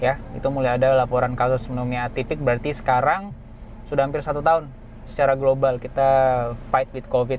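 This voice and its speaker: Speaking very fast in a Makassar accent, a man keeps a medium pitch and monotone, flat intonation over noticeable background noise. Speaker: internal medicine doctor. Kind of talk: explanatory interview. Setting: in a car with sunroof open.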